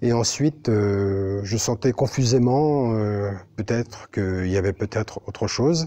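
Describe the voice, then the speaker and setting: A man's dark, mellow voice with lively intonation. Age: 60s. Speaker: billiards player. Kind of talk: interview monologue. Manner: halting, many fillers.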